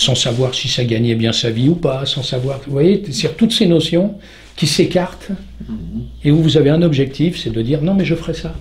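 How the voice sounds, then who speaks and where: His voice sits fairly high with ordinary shifts in pitch. The man talks at a medium speed. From southern France. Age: 60s. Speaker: stuntman. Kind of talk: interview answer. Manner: talkative.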